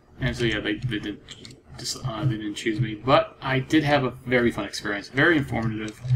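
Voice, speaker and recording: With noticeable background noise, a man talks at a moderate pace and medium pitch, with ordinary pitch variation. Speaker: gaming video creator. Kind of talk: casual gameplay commentary. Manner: halting.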